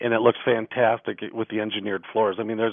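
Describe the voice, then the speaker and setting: A man speaks at a medium pitch. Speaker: real estate agent, radio co-host. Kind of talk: casual radio talk show chat. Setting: phone call.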